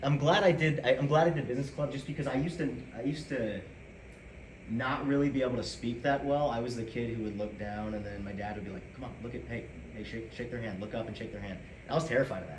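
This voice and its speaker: Over noticeable background noise and audible room echo, a medium-pitched man with an American accent talks very fast with ordinary pitch variation. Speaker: student club president. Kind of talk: speech. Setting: room with audience, no microphones. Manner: loud. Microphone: no mic, speaking from the chest.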